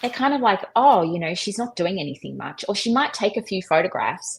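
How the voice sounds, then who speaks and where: A somewhat breathy woman with an Australian accent at a moderate pace, her pitch swinging very widely. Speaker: street photographer. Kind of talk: live online talk, Q&A. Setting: live video stream.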